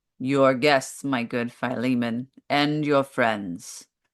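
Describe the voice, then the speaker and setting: A man uses a put-on character voice at a medium pitch. His pace is very slow. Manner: sweet, awe-inspiring.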